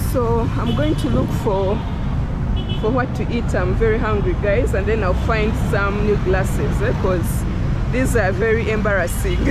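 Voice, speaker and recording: Loud background noise surrounds a woman in a dry sound with no echo. She speaks at a fairly slow pace. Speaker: travel vlogger. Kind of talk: casual vlog chat. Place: street. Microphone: phone near.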